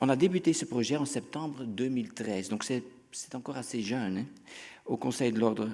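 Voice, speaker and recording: With a Dutch accent, a man speaks at a fairly quick pace and medium pitch, his dark, mellow tone carrying ordinary pitch variation. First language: Dutch (speaking French). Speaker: physician. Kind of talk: conference talk. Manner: halting.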